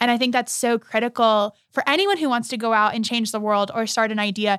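A woman with an unremarkable speaking voice talks at a moderate pace in a fairly high pitch with an American accent. The recording is very clean with a silent background. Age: 20s. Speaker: social entrepreneur, coffee shop founder. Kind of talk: casual interview.

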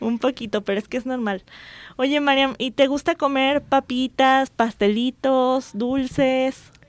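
A woman's high-pitched voice at a fairly slow pace with fairly even intonation, in a very clean recording with a silent background. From Jalisco, Mexico. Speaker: radio host and physician. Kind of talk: radio talk show.

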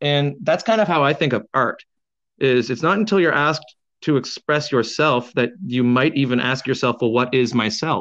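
A man's plain, everyday voice with a Canadian accent, medium in pitch with ordinary pitch variation, very even in loudness, at a moderate pace over a quiet background. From Canada. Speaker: painter and muralist. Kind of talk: casual interview. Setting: phone call on speakerphone.

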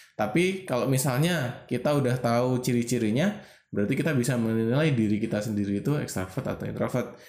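The speech moves at a very fast pace with very even loudness throughout. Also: man, medium pitch for a man, lively intonation. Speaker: podcast co-host. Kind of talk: casual chat.

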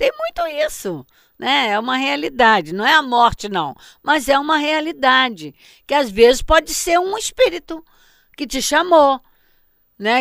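At a fairly slow pace with long, frequent pauses, a woman speaks in a high voice with lively intonation, the sound dry and close with no echo in a very clean recording over a silent background. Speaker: spiritist teacher. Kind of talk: lecture. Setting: web radio.

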